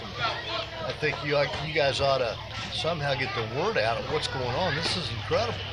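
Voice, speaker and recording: Over crowd noise in the background, a man speaks at a moderate pace with a fairly high pitch. His pitch moves in an ordinary way, and there is audible room echo. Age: 60s. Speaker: grandparent of youth baseball player. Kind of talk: on-the-spot interview.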